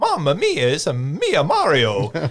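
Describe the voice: Putting on a character voice in an Italian accent, a man speaks at a fairly slow pace with a fairly high pitch. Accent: exaggerated Italian.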